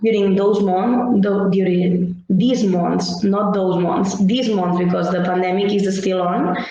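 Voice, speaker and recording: Over noticeable background noise and audible room echo, a woman speaks very slowly in a medium pitch with fairly even intonation. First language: Catalan or Spanish. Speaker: social educator. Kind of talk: workshop presentation. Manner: halting.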